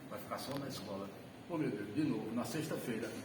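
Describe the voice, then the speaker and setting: A man's lively intonation and moderate pace come through amid noticeable background noise and audible room echo. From Alagoas, Brazil (northeast). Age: 70s. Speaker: retired math teacher. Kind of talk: personal life story talk to an audience.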